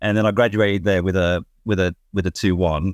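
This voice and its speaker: A man with a British accent and fairly low pitch speaks at a moderate pace. The recording is very clean and dry, close with no echo, on a silent background. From Kenya, raised in UK. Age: 50s. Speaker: entrepreneur. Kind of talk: casual chat. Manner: animated; halting.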